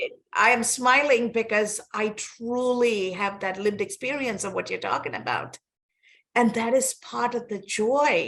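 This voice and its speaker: A woman's high voice with a Sri Lankan accent, at a fairly slow pace with ordinary pitch variation. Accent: Sri Lankan English, British-learned. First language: not English. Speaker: podcast host. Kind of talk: interview conversation.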